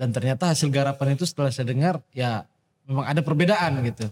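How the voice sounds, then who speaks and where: Somewhat breathy and fairly high-pitched, a man talks at a very fast pace broken by long, frequent pauses, with a dry, close sound and no echo. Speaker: music enthusiast. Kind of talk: casual chat. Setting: studio.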